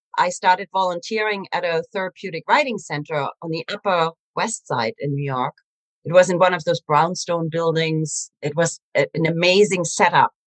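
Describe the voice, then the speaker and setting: Lively intonation and a moderate pace in a German accent, with a dry, close sound and no echo. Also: woman. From Germany. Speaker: animal communicator. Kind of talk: interview storytelling.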